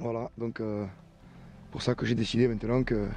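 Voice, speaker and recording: A man's monotone, flat delivery with a southern French accent. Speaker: permaculture gardener and video creator. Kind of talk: personal monologue. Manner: hesitant, frequent fillers.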